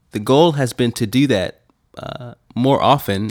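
The pitch varies in an ordinary way on a very clean recording with a silent background. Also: man. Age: 30s. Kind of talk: devotional teaching monologue.

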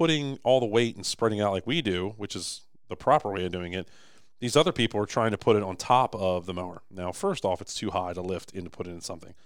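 A plain, everyday voice at a fairly quick pace, on a very clean recording with a silent background. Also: man. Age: 30s. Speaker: business owner. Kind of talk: casual chat.

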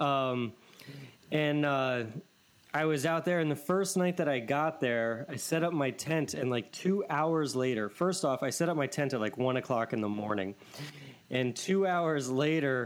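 The speaker uses a plain, everyday voice with ordinary pitch variation. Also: man, fairly high pitch for a man, fairly slow pace. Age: 30s. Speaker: podcast host. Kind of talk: casual chat.

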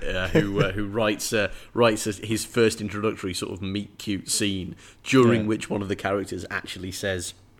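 With fairly even intonation, an unforced reading voice carries the text.

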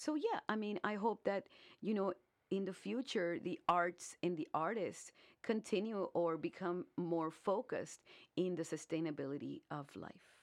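A woman's medium-pitched voice with an American accent, lively intonation and a fairly slow pace. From US South, Brownsville, Texas on the Mexican border. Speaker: artist. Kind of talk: radio interview. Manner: halting, many fillers.

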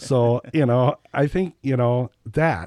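A man speaks in an American accent with a normal speaking voice, at medium pitch and a fairly slow pace. The recording is very clean, with a silent background and a dry, close sound with no echo. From Wisconsin. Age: 50s. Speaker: singer-songwriter. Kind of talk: casual interview chat.

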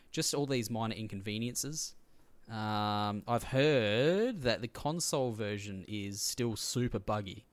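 A man with an Australian accent at a fairly slow pace, on a very clean recording with a silent background. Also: medium pitch for a man, ordinary pitch variation. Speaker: podcast host. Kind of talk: casual chat.

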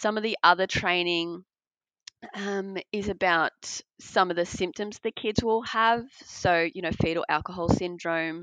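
With fairly even intonation, a woman talks in an Australian accent. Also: medium pitch for a woman, fairly slow pace. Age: 30s. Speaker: adoptive mother and IVF patient. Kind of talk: interview.

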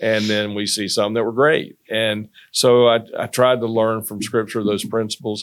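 A man's medium-pitched voice in a Southern US accent, at a moderate pace with monotone, flat intonation and hardly any pauses. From North Carolina. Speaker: pastor. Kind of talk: casual interview.

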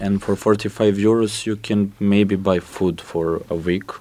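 A man speaks very slowly with a Serbian accent and a fairly low pitch. His intonation is monotone and flat. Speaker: youth council representative. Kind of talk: panel discussion. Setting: studio.

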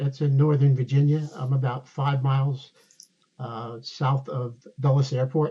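At a fairly slow pace, a man speaks in a dark, mellow tone that is somewhat breathy and fairly high in pitch. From New Jersey. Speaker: retired DEA agent. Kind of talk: interview storytelling.

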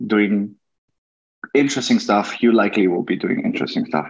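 Using a French accent, a man speaks at a fairly quick pace in a fairly low pitch with fairly even intonation. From France and China. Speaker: tech worker and content creator. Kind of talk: interview. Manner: halting.

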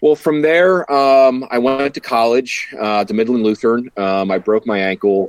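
An ordinary speaking voice from a man, moderate in pace, with ordinary pitch variation and a dry, close sound with no echo. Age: 40s. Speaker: coffee company founder and entrepreneur. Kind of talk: casual interview.

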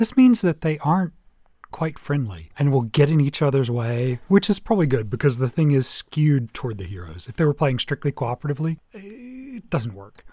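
A man's fairly high, somewhat breathy voice with a dark, mellow tone, very wide pitch swings and a fairly quick pace, in a very clean recording with a silent background. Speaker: board game podcast co-host. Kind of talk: casual chat.

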